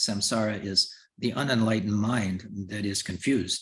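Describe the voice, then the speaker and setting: Here a man speaks at a moderate pace in a fairly low, somewhat breathy voice. His pitch varies in an ordinary way. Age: 70s. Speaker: Buddhist lama and teacher. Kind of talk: dharma teaching. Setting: video call. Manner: hesitant with fillers.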